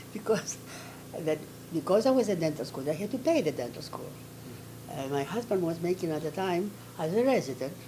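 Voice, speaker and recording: Speaking with a Greek accent, a woman with a fairly low voice moves at a fairly quick pace, her pitch swinging very widely between long, frequent pauses. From Athens, Greece. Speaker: retired dentist and dental professor. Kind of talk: oral history interview answer.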